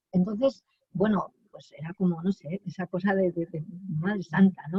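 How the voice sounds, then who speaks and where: A somewhat breathy woman's voice, fairly low in pitch, with ordinary pitch variation and a moderate pace. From Aragon, Spain (Binéfar, Huesca). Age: 60s. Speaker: feminist activist. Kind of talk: interview. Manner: halting, many repetitions and fillers.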